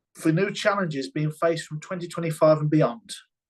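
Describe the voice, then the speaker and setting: A man with a British accent, fairly high pitch, ordinary pitch variation and a fairly quick pace. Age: 60s. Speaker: health and safety consultant. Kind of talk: webinar presentation.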